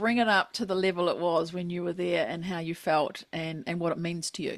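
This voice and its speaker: A woman with a New Zealand accent, fairly low pitch, fairly even intonation and a fairly quick pace. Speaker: podcast host. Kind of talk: podcast interview.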